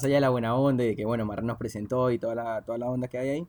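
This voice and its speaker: With a Rioplatense accent, a man talks at a very fast pace. His pitch sits in the medium range. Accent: Argentine Rioplatense Spanish. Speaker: podcast host. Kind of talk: casual chat. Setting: at a home.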